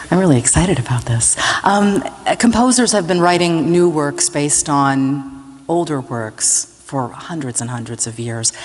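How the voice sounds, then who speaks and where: Over noticeable background noise, a woman with a very deep, low voice talks at a moderate pace, her pitch swinging very widely. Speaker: radio host moderating pre-concert talk. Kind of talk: pre-concert interview. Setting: stage with audience.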